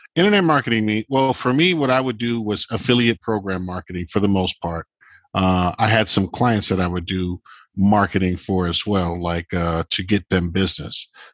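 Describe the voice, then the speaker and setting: A man talks at a moderate pace in a plain, everyday voice, fairly low, with ordinary pitch variation. The recording is very clean with a silent background, dry and close with no echo. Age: 50s. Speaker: vintage clothing seller. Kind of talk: casual chat.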